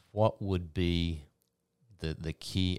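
On a very clean recording with a silent background, a man speaks at a very deep, low pitch with monotone, flat intonation. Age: 60s. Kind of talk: casual chat. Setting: studio.

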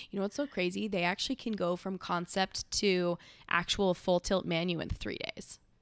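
A woman's animated, medium-pitched voice with an American accent, ordinary pitch variation and a moderate pace, recorded very cleanly against a silent background with a dry, close sound and no echo. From California, rural hay ranch. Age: 20s. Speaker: vintage shop owner, former fashion designer. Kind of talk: casual chat. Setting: sitting on a couch at her home. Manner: loud.

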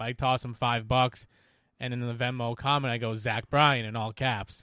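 Speaking fairly quickly in a Rhode Island accent, a man holds a medium pitch and fairly even intonation. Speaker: snowmobile rider. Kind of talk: casual chat.

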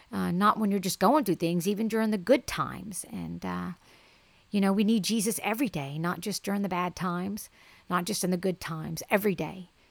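At a moderate pace, the voice comes through on a very clean recording with a silent background. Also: woman. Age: 40s. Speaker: podcast host and ministry shop owner. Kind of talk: solo podcast monologue. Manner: hesitant, many fillers.

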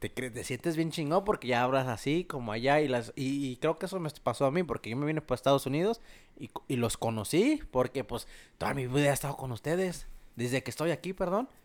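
A man in a normal speaking voice, fairly high in pitch, with lively intonation at a moderate pace on a very clean recording with a silent background. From Mexico, Guanajuato. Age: 20s. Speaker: electrician. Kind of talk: casual chat.

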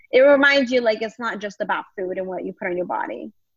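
A woman with an American accent speaks at medium pitch. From Longview, Texas. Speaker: stand-up comedian. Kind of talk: casual interview chat. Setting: video call.

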